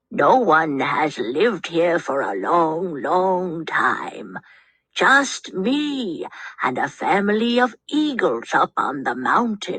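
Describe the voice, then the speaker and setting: This is a put-on character voice, raspy and middle in pitch. It moves at a very slow pace. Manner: friendly, smiling.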